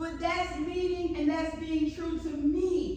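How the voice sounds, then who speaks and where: A woman speaks loudly at an extremely high pitch, with audible room echo and noticeable background noise. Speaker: leadership speaker. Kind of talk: motivational talk. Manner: animated.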